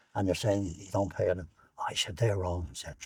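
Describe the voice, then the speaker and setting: A man with an Irish accent has a dark, mellow tone, a fairly low pitch and a somewhat breathy quality, in a very clean recording over a silent background. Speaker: war veteran. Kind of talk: interview. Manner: halting.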